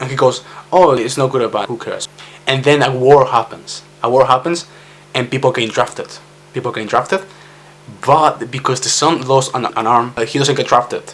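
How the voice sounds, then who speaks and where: A man with a Spanish accent at a medium pitch and fairly quick pace, with music in the background. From Spain. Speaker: vlogger. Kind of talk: personal vlog monologue. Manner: halting.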